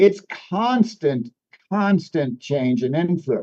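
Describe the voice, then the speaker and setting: Very slow, lively speech from a man with a high voice and a dark, mellow tone. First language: French. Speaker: news presenter and author. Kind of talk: casual chat.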